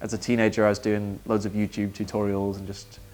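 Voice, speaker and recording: Music plays in the background while a man with a Manchester accent speaks. His pitch is fairly low and his pace fairly quick. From Manchester, England. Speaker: worship songwriter. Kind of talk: interview.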